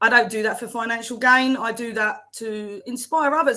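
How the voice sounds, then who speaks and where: Bright and sharp in tone, a woman speaks in a Cockney accent with ordinary pitch variation. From South London, England. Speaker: accountant and life coach. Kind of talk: interview.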